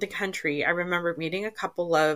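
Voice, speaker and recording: A woman with a plain, everyday voice speaks at a fairly low pitch and a moderate pace. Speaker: podcast host. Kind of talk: casual interview chat, bilingual. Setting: remote recording, online program.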